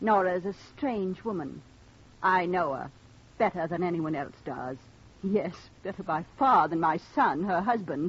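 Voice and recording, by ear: A woman puts on a character voice, fairly low in pitch with a slightly husky edge. Her intonation is lively and her pace fairly slow.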